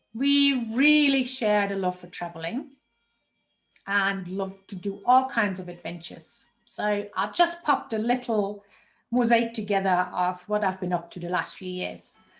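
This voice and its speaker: A woman with a German accent, medium pitch, lively intonation and a moderate pace, with music in the background. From Germany. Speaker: health coach. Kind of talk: online workshop presentation.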